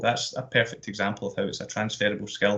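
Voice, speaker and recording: A man with a Glasgow accent, fairly low pitch and fairly even intonation at a very fast pace, quiet background. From Scotland, Glasgow. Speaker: sports events manager, active schools coordinator. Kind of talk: careers presentation. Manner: hesitant, many fillers and repetitions.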